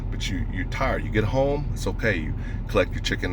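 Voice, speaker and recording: A man is heard with audible room echo and noticeable background noise. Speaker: stonemason and dog breeder vlogger. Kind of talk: casual monologue vlog. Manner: fast.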